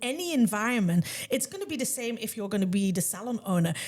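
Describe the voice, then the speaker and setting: A loud woman at a fairly quick pace with very wide pitch swings. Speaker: salon owner and podcast host. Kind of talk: casual chat.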